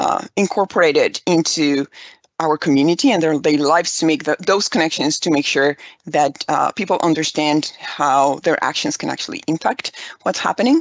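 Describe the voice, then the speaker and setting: A woman talks with a Spanish accent in a very deep, low pitch. Her pace is moderate and her pitch variation ordinary. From Mexico (Aguascalientes). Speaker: environmental educator. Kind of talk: conference presentation.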